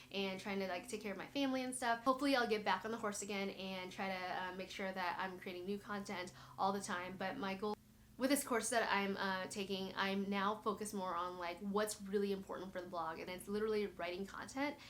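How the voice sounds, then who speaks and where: A woman with a medium pitch talks fairly quickly while noticeable background noise carries on. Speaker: blogger and YouTuber. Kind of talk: casual tutorial walkthrough. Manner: fast; filler-heavy, casual.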